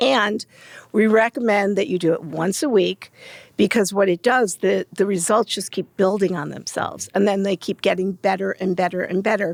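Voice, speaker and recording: With a plain, everyday voice, a woman talks at a moderate pace, medium pitch and ordinary pitch variation. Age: 60s. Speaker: beauty brand founder. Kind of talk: interview.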